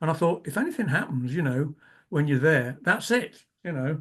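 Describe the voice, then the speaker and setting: Against a quiet background, a man with a fairly high, somewhat breathy voice talks at a fairly quick pace. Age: 70s. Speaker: amateur radio operator. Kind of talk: club talk Q&A. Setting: online talk. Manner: conversational, hesitant.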